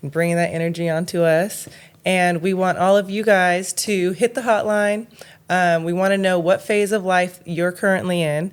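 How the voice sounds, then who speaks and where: At a moderate pace, a woman talks with fairly even intonation and a medium pitch. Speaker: podcast co-host. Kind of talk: casual interview chat. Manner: halting, stumbling over words.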